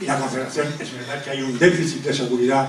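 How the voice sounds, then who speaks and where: There is noticeable background noise and audible room echo. A man talks at a fairly quick pace with a fairly high pitch. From Zaragoza, Spain. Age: 60s. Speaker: audience member at public talk, retired dam safety worker. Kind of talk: audience comment at public talk. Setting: public talk with audience. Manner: halting.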